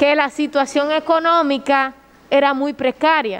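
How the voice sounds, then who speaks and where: At a very slow pace, a woman speaks in a high pitch with fairly even intonation. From Dominican Republic. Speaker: prosecutor. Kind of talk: courtroom argument. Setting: courtroom. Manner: formal. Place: hall. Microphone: podium.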